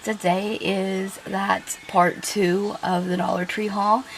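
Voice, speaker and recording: A woman speaks at a medium pitch with fairly even intonation. There is noticeable background noise. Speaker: YouTuber doing shopping hauls. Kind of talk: casual haul review. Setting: home kitchen. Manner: chatty, hesitant with fillers.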